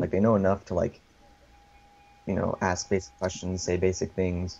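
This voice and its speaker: A man with an American accent speaks at a moderate pace in a very deep, low voice, his intonation monotone and flat and his loudness very even. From USA. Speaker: gaming community organizer. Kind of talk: interview.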